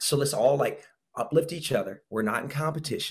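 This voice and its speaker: This man's voice is somewhat breathy. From Brazil. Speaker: fitness trainer and former pro soccer player. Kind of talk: interview.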